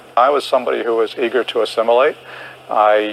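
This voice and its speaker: Talking at a fairly quick pace, a man has an American accent and a medium pitch. Noticeable background noise sits behind him. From United States. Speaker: historian and political commentator. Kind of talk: TV interview.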